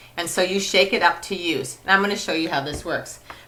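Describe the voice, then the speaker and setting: Speaking at a fairly quick clip, a woman gets her words out. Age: 50s. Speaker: cosmetics sales director. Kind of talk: product demonstration. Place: home room. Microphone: webcam.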